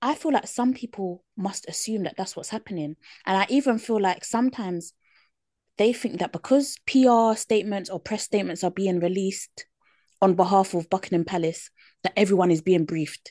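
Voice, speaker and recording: Speaking at a fairly quick pace with a British accent, a woman uses a medium pitch, a dark, mellow tone and ordinary pitch variation, her sound dry and close with no echo. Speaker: podcast co-host. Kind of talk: casual chat.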